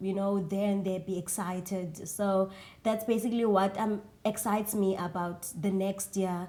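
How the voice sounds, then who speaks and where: A woman with a South African accent speaks at a medium pitch and a moderate pace. Her tone is dark and mellow, and her intonation is monotone and flat. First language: isiXhosa. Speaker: singer. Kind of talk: interview. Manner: hesitant, many fillers.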